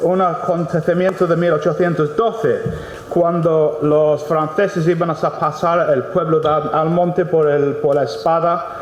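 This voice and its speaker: With noticeable background noise behind him, a man with an English accent speaks at a fairly slow pace in a high, monotone, flat voice, his loudness very even. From England. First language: English (speaking Spanish). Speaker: mining company project director. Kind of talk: impromptu speech at book presentation. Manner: halting, many fillers and repetitions.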